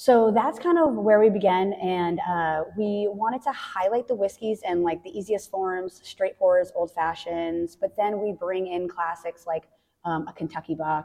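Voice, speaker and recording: A woman speaks with an American accent and a dark, mellow tone. She hardly pauses at all. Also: medium pitch for a woman, ordinary pitch variation, fairly slow pace. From US Northeast, central Massachusetts (Worcester County). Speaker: distillery hospitality manager. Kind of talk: interview conversation.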